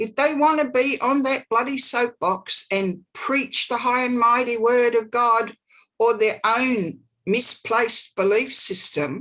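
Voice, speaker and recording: This woman has an Australian accent and a high pitch. Her tone is bright and sharp, her pitch varies in an ordinary way, and she talks at a fairly slow pace. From Australia, Sydney Northern Beaches. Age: 60s. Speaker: psychic. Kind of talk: casual chat.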